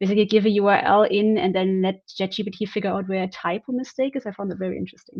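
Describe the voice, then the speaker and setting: At a very fast pace with hardly any pauses, a woman with a non-native accent speaks at medium pitch and with fairly even intonation. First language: not English. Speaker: software tester, community member. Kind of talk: casual chat. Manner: halting.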